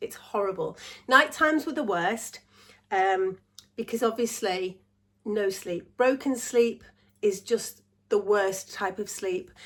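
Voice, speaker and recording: Speaking at a very slow pace with long, frequent pauses, a woman with an English accent uses a fairly high pitch and ordinary pitch variation. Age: 60s. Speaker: vlogger. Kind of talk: casual chat.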